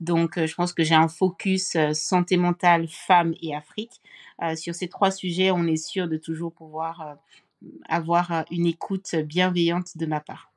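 In a very clean recording with a silent background, a woman speaks in a fairly low, monotone, flat voice. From Cameroon. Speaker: mental health foundation founder and author. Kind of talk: interview.

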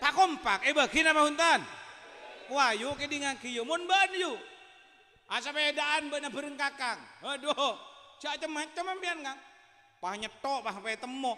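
Speaking in a Madurese accent, a man uses an extremely high pitch with ordinary pitch variation. His raised, projected voice has an animated tone and long, frequent pauses. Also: moderate pace. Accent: Madurese-accented Indonesian. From Madura. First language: Madurese (speaking Indonesian). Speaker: Islamic preacher. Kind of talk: sermon. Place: hall. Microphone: handheld.

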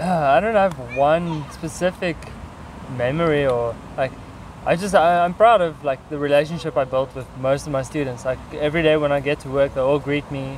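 Pitched fairly high, a man speaks with a South African accent. The sound is dry with no echo, over light background noise. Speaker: English teacher. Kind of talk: casual chat. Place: garden.

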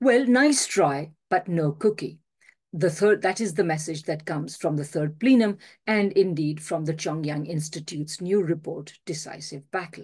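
A somewhat breathy woman's voice, fairly low in pitch, at a moderate pace with ordinary pitch variation over a quiet background. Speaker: professor giving a remote speech. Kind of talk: formal speech. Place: home room. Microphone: video call.

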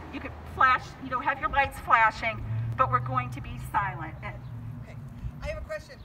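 A woman speaks at a moderate pace with long, frequent pauses and big swings in loudness over light background noise. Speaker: activist speaker. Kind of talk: rally speech. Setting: outdoors, car protest gathering. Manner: earnest, urgent; animated, persuasive. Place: street.

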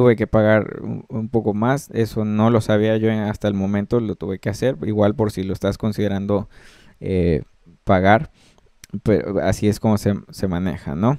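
A man speaks with a Mexican accent. His pitch is fairly low, with ordinary variation. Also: moderate pace. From Mexico. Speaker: music production tutor. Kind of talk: screen-recorded tutorial. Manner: hesitant, many fillers.

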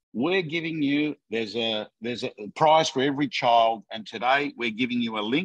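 A man talks at a fairly slow pace in an Australian accent. His pitch varies in an ordinary way against a quiet background. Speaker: real estate coach. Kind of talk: live webinar chat. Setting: video call. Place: office. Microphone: video call.

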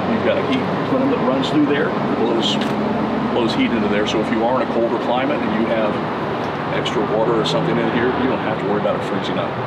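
A man rattles off his words extremely fast despite heavy noise behind him. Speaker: RV salesman giving tour. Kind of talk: product walkthrough explanation. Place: street.

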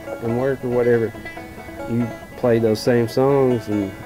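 Clear music plays in the background. A man speaks with monotone, flat intonation. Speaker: old-time musician. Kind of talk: interview answer. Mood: calm, reflective. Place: home room.

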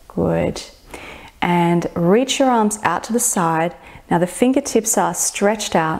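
In a quiet setting, a woman speaks very slowly in a soothing tone with lively intonation. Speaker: fitness and meditation instructor. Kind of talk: guided meditation with gentle stretching cues. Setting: home studio floor session on video. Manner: slow, soothing, reassuring with long pauses; soft-spoken, gently permissive affirmations. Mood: calm, soothing. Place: home room.

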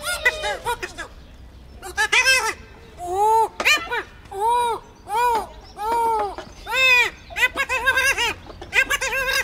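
A cartoonish character voice moves at a moderate pace with long, frequent pauses. Light background noise sits underneath. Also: man, extremely high pitch for a man. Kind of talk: traditional street puppet show. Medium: puppet. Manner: loud, excited, shouting.

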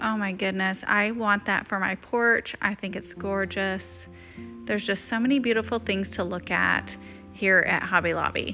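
Over music in the background, a woman speaks at a fairly slow pace with fairly even intonation. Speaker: lifestyle vlogger. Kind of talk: casual vlog narration.

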